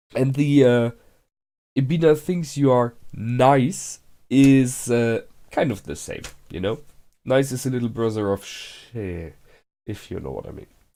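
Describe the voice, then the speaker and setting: In a very clean recording with a silent background, a man with a medium pitch and a dark, mellow tone speaks at a fairly slow pace, with ordinary pitch variation and long, frequent pauses. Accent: non-native. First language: not English. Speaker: anime reaction youtuber. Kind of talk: casual reaction commentary. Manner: hesitant, many fillers.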